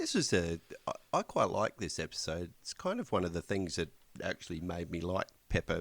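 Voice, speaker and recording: With a strong Australian accent, a man speaks at a moderate pace. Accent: broad Australian. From rural Australia. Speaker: podcast co-host. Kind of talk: casual chat. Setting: Skype call.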